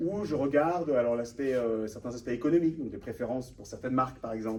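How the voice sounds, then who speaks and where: A man at medium pitch talking at a very fast pace, with ordinary pitch variation, big swings in loudness and audible room echo. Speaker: author and data researcher, panel guest. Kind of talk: conference talk with slides. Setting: room with live audience. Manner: hesitant, many fillers.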